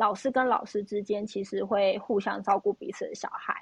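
A woman's ordinary speaking voice, fairly high in pitch, at a moderate pace with fairly even intonation. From Taiwan. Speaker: podcast host. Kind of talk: casual chat.

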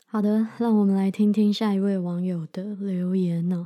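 At a moderate pace, a woman speaks with a medium pitch and a dark, mellow tone on a very clean recording with a silent background. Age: 30s. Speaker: podcast host, medical student. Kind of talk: casual unscripted monologue.

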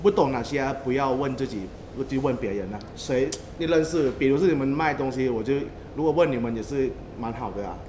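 Amid noticeable background noise and audible room echo, a man with a Taiwanese accent talks at a fairly quick pace with ordinary pitch variation. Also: medium pitch for a man. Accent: Taiwanese-accented Mandarin. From Thailand. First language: Thai (speaking Chinese). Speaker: tour guide. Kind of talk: casual chat.

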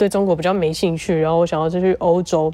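A woman talks in a fairly low register, her tone dark and mellow. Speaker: podcast co-host, former exchange student. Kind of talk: casual chat; podcast outro.

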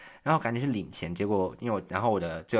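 On a very clean recording with a silent background, a man with a Taiwanese accent talks at a very fast pace. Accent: Taiwanese Mandarin. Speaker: podcast host. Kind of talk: casual solo monologue. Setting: quiet room at home.

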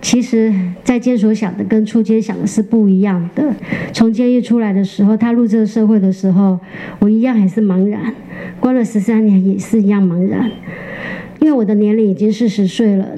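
At a fairly quick pace, a woman speaks with fairly high pitch, fairly even intonation and very even loudness against noticeable background noise. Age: 50s. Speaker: former prisoner turned baker. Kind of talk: interview testimony.

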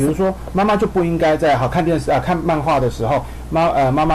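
A man talks over noticeable background noise. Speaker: occupational therapist. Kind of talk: radio interview. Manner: hesitant with many fillers.

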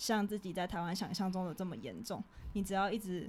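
A woman with a Taiwanese accent talks at a fairly quick pace. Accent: Taiwanese Mandarin. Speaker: podcast co-host, student abroad. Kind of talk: casual chat.

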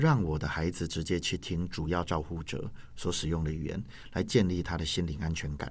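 At a fairly quick pace, a man with a Taiwanese accent and a very deep, low pitch talks with ordinary pitch variation. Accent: Taiwanese Mandarin. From Taiwan, Yunlin County. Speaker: language teacher and school administrator. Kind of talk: interview.

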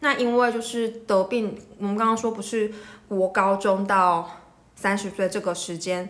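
At a fairly slow pace, a woman talks in an ordinary speaking voice with a medium pitch and fairly even intonation. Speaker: rheumatologist podcast host. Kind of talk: medical explainer monologue. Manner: casual, with many filler words.

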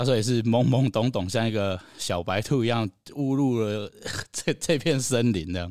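Medium in pitch, a man speaks with a Taiwanese accent and ordinary pitch variation. The recording is very clean, with a silent background. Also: moderate pace. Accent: Taiwanese Mandarin. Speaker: live music venue founder. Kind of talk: casual chat.

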